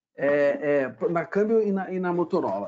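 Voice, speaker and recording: With a Brazilian accent and lively intonation, a man talks at a moderate pace. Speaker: network engineer presenter. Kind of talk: webinar presentation. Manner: hesitant fillers.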